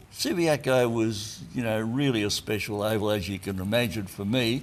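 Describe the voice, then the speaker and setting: Here a man talks with an Australian accent in a medium pitch. His pace is moderate, with ordinary pitch variation. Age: 80s+. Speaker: retired football player and coach. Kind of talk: interview reminiscence.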